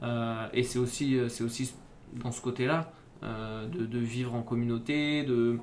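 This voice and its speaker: A man speaks at medium pitch and a fairly slow pace, his intonation monotone and flat. Noticeable background noise and audible room echo surround him. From southwest France, Bordeaux. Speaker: rugby player. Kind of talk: interview conversation. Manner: hesitant, many fillers and repetitions.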